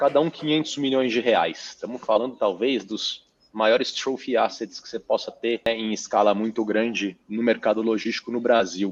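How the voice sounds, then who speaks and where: The speech runs with hardly any pauses. Pitch varies in an ordinary way. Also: man, medium pitch for a man. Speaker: real estate fund manager. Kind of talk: interview. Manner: fast; animated.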